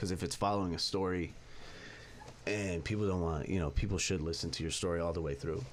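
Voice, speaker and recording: Amid audible room echo, a man with a very deep, low pitch talks at a very fast pace. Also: ordinary pitch variation. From San Fernando Valley, California. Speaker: rapper. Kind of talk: casual interview chat. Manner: halting, filler-heavy.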